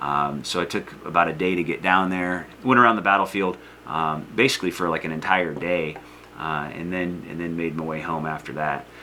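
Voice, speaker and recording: A man with a Northern US accent and a very deep, low pitch, at a very fast pace, with audible room echo and noticeable background noise. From US North. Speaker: history teacher. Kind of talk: lecture. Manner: casual, hesitant with fillers.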